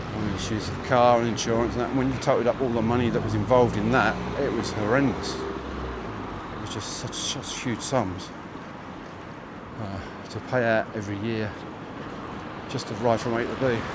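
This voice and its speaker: A man with a southeast English accent speaks at medium pitch and a moderate pace in a monotone, flat delivery broken by long, frequent pauses, with audible room echo and noticeable background noise. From southeast England, Chatham, Kent. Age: 60s. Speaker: walking livestreamer. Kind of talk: casual chat. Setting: outdoors. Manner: halting.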